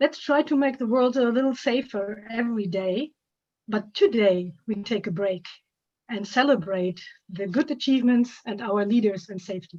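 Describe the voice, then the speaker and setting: Fairly high in pitch and somewhat breathy, a woman speaks at a moderate pace with ordinary pitch variation. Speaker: award presenter. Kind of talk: award presentation speech.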